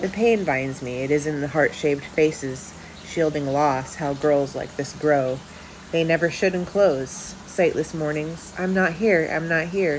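A woman's very deep, low voice at a fairly slow pace, ordinary pitch variation, light background noise. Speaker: poet and author reading own work. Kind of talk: poetry reading aloud. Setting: home video with poor lighting. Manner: measured, intimate spoken-word delivery with pauses. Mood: somber, reflective. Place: home room. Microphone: phone near.

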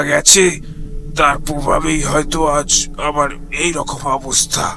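A man puts on a raspy character voice pitched fairly high. He speaks at a very slow pace. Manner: broken, distressed.

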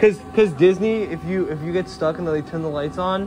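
At a moderate pace and with ordinary pitch variation, a man speaks over faint music in the background. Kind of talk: casual vlog chat. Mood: amused, chatty. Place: tunnel cave. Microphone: phone near.

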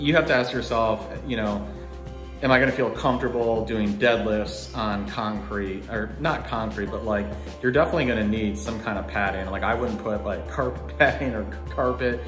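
A man's fairly low voice at a fairly quick pace, with clear music in the background. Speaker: home gym channel host. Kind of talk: casual vlog chat. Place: garage. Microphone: phone near.

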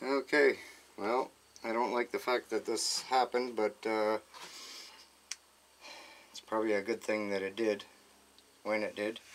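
Long, frequent pauses break up a man's monotone, flat delivery. His pace is moderate, with light background noise. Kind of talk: tutorial. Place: workshop.

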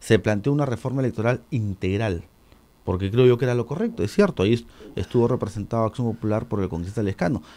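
A man speaks at a very fast pace with a medium pitch. His tone is dark and mellow, with ordinary pitch variation. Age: 40s. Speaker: congressman. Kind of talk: radio interview.

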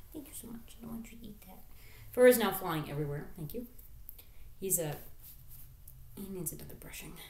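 A woman with a medium-pitched, somewhat breathy voice speaks at a fairly quick pace with lively intonation, big swings in loudness, long and frequent pauses, and audible room echo. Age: 30s. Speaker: YouTuber and streamer. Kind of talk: casual vlog. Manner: distracted, interrupting self.

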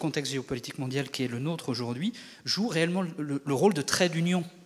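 At a fairly quick pace, a man speaks at a fairly high pitch with ordinary pitch variation amid noticeable background noise. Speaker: audience member. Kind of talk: audience question. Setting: stage with audience. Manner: halting.

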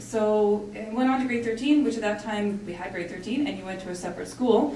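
Speech comes at a moderate pace, with light background noise and audible room echo. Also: woman. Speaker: engineering company leader. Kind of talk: panel presentation. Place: hall.

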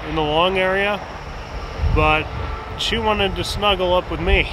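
A man's high-pitched voice at a moderate pace, ordinary pitch variation, dry sound with no echo, noticeable background noise. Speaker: road trip vlogger. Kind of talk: casual vlog chat. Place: open country.

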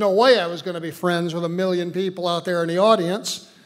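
Against a quiet background, a man speaks. His pitch is high. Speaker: storyteller. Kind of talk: personal story told on stage. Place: stage.

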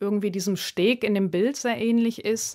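Her pitch is medium for a woman, and she varies it in an ordinary way. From Namibia, Swakopmund area. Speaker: artist. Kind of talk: radio interview. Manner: hesitant, many filler sounds.

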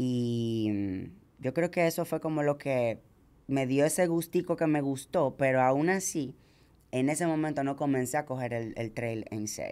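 With a non-native accent, a woman speaks at a fairly slow pace in a very deep, low pitch. Her tone is dark and mellow, and her pitch varies in an ordinary way. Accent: foreign lilt kept from childhood country. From Dominican Republic (from age seven). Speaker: ultramarathon runner; podcast guest. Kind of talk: casual chat. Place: studio. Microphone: studio mic.

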